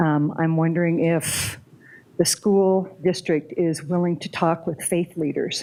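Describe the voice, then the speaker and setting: In an American accent, the speaker talks at a fairly slow pace with a dark, mellow tone and monotone, flat intonation. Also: woman, fairly low pitch for a woman. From Colorado, Douglas County. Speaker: public commenter. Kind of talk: public comment at meeting. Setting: public meeting.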